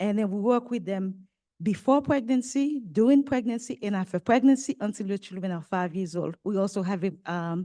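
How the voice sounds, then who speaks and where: Speaking with a French accent, a woman keeps a moderate pace. Her voice has a medium pitch and a dark, mellow tone. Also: lively intonation, quiet background. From Haiti. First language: French or Haitian Creole. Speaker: nonprofit maternal health leader. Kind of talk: panel talk. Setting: conference with live audience.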